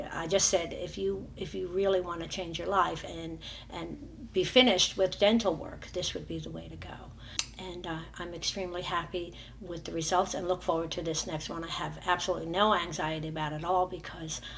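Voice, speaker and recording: Audible room echo and noticeable background noise surround a woman talking fairly quickly. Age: 60s. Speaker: dental patient giving testimonial. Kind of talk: testimony. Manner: halting, many fillers.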